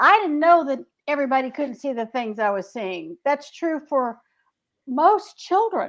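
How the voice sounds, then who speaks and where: With a Southern US accent, a woman speaks at a fairly slow pace over a quiet background, her high pitch making very wide swings. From US South, Greensboro, North Carolina. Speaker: author. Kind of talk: casual chat.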